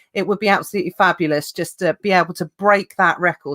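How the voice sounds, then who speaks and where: A woman speaks at a fairly quick pace in a medium pitch, her tone bright, sharp, upbeat and animated. The sound is dry and close, with no echo. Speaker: livestream host of a seller show. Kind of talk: live stream chat with guest. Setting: live online stream. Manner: upbeat, animated.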